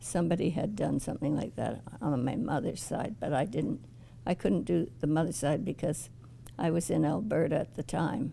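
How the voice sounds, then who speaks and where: A woman's very deep, low-pitched voice with vocal fry and a dark, mellow tone, very wide pitch swings, very even loudness, and a moderate pace. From Ottawa, Canada. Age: 80s+. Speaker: oral history interviewee. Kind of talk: oral history interview. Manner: halting, with frequent restarts.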